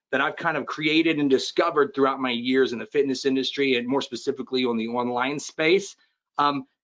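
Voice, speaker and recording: The speaker is a man with an animated tone. His pace is fairly quick. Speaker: fitness business coach. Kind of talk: webinar presentation. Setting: online webinar. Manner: fast.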